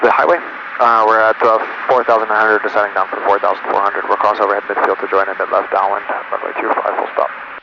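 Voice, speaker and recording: Noticeable background noise sits behind a man's voice. His pitch is medium and his intonation fairly even. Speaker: flight instructor. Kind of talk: in-flight instruction and casual chat. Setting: small airplane cockpit. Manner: fast.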